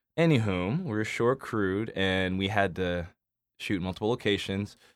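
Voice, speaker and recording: In an American accent, a man with a fairly low pitch talks at a moderate pace on a very clean recording with a silent background. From Arizona, US. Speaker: cinematographer. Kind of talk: casual chat. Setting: recording studio. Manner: halting, many fillers.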